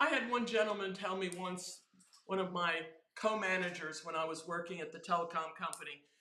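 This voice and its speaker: A woman talks at a moderate pace and medium pitch, her tone bright and sharp. Her intonation is lively, and audible room echo surrounds her. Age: 70s. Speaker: software quality engineer and teacher. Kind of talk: casual interview chat. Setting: live stream at an event. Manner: animated.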